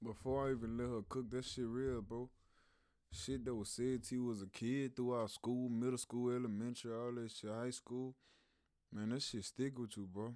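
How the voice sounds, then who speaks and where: A man with a Louisiana accent speaks at a moderate pace in a medium pitch, his intonation fairly even. The recording is very clean, with a silent background. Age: 20s. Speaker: YouTube reactor. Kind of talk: casual reaction commentary. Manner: slangy, uses big words.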